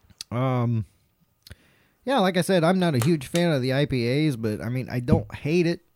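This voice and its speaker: A man with a Southern US accent speaks at a moderate pace in a medium pitch, with ordinary pitch variation and long, frequent pauses. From North Carolina. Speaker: podcast host. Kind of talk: casual chat. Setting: studio.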